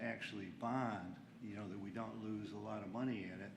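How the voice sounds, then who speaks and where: Over noticeable background noise and audible room echo, a man with a fairly low voice talks at a moderate pace with ordinary pitch variation. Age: 80s+. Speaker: local elected official. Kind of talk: public meeting discussion. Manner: halting.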